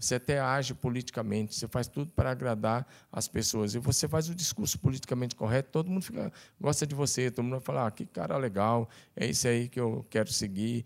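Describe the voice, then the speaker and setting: A man speaks at a very fast pace, his voice at a medium pitch. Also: ordinary pitch variation. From Tocantins, Brazil. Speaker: pastor. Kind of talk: casual chat.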